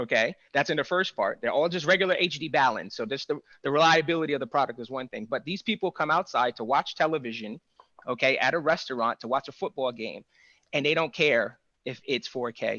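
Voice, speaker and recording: Fairly quick speech from a man with a New York accent. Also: fairly high pitch for a man, ordinary pitch variation. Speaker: AV integration business owner. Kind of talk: panel discussion. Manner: animated.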